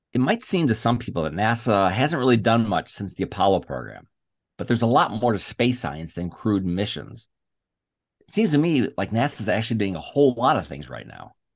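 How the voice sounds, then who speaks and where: A man with vocal fry and lively intonation talks at a fairly quick pace. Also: medium pitch for a man, quiet background. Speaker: podcast host. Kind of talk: interview.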